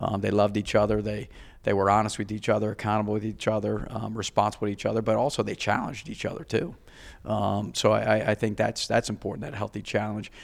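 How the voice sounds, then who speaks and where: Flat, monotone intonation and vocal fry mark this voice, which moves at a very fast pace. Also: man, fairly low pitch for a man. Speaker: college football head coach. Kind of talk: interview.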